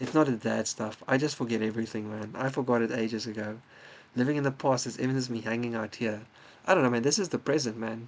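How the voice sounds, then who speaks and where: Speaking at a very fast pace, a man keeps his intonation fairly even. His pitch sits in the medium range. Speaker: chess streamer and commentator. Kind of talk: live stream commentary. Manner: casual, hesitant with fillers.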